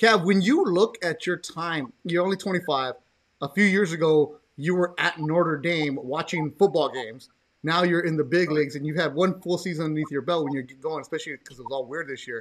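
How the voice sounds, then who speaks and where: A man with an American accent at a fairly quick pace, his fairly high pitch showing ordinary pitch variation. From Los Angeles. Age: 40s. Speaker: podcast host. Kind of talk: casual chat. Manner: animated.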